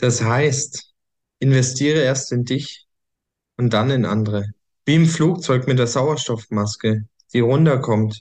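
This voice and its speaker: Speaking at a very slow pace with long, frequent pauses, a man uses a medium pitch, ordinary pitch variation and very even loudness. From Germany, small village. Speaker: coach and podcast host. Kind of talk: personal story monologue. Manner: hesitant, many fillers.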